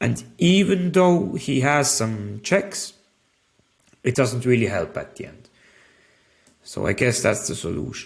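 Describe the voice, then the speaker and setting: Slow-paced and full of long, frequent pauses, a man speaks at medium pitch with vocal fry. His pitch swings very widely and his loudness shifts in big swings. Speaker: chess teacher. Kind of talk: tutorial.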